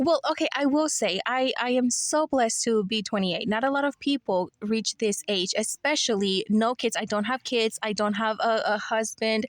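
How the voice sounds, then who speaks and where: Speaking with an American accent, a woman with a fairly high pitch keeps a moderate pace, hardly any pauses, ordinary pitch variation and very even loudness, in a dry, close sound with no echo. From Mexico, raised from age 7 in Charlotte, North Carolina. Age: 20s. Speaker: podcast guest. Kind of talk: casual chat. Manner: animated.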